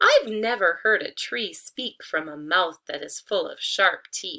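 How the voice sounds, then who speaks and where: A woman performs a put-on character voice at a fairly slow pace. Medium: read story.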